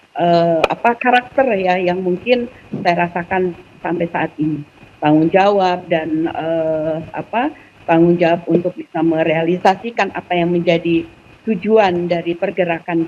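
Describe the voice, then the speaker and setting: With noticeable background noise behind her, a woman speaks fairly slowly in a fairly low voice. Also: ordinary pitch variation. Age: 50s. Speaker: Islamic student organization alumna. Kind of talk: talk show interview.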